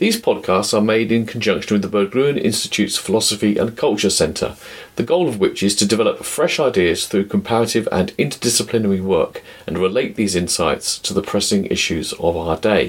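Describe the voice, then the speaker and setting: Speaking fairly quickly, the man has a British accent. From Britain. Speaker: podcast host, philosopher. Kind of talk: scripted narration.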